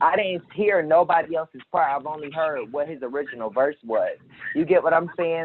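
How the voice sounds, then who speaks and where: In an American accent, a man speaks at a moderate pace in a plain, everyday voice. His pitch is fairly high, with ordinary pitch variation. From Jacksonville, Florida. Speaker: rapper. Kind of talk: casual chat.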